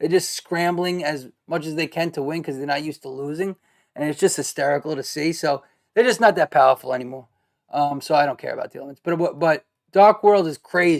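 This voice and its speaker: A man with a Brooklyn accent talks at a fairly quick pace with a fairly high pitch and big swings in loudness. The sound is dry and close with no echo, on a very clean recording with a silent background. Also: ordinary pitch variation. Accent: New York (Brooklyn). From Brooklyn, New York. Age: 30s. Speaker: gaming streamer. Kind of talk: casual commentary. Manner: halting, many fillers.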